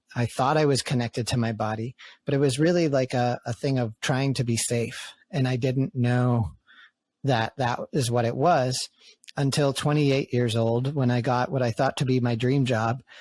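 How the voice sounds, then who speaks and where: A man's normal speaking voice with an American accent, medium pitch, fairly even intonation, very even loudness and a moderate pace, in a dry, close sound with no echo. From New England, US (outside Boston). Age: 30s. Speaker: podcast host and men's community facilitator. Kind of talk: casual podcast conversation.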